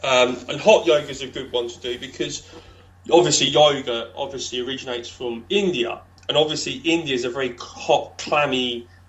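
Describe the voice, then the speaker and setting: Over noticeable background noise, a fairly high-pitched man talks at a fairly quick pace with big swings in loudness. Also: ordinary pitch variation. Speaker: stroke survivor coach. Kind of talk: casual interview chat.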